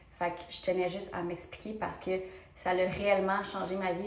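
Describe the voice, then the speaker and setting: A woman in a Quebec accent, medium-pitched, with monotone, flat intonation at a moderate pace, amid audible room echo and noticeable background noise. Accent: Québécois French. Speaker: beauty vlogger. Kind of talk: casual vlog talk to camera.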